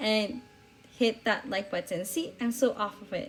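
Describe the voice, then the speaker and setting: A woman at a fairly slow pace with ordinary pitch variation, music playing in the background. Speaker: planner vlogger. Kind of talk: voiceover narration. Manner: hesitant, many fillers.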